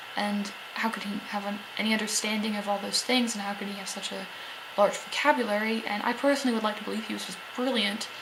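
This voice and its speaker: A woman whispers at a very fast pace. Noticeable background noise can be heard. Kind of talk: casual vlog talk to camera.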